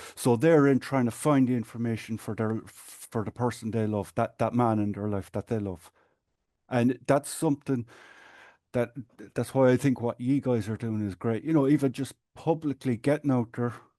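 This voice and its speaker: With an Irish accent and a dark, mellow tone, a man speaks with ordinary pitch variation over a quiet background. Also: medium pitch for a man, moderate pace. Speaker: patient advocate and support group administrator. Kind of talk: podcast interview.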